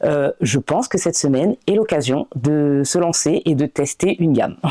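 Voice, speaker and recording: Her voice is very deep and low for a woman, with a dark, mellow tone and lively intonation. Loudness is very even, and the sound is dry and close with no echo. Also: moderate pace. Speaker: coloring hobby youtuber. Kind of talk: product review vlog. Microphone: new microphone, not yet mastered.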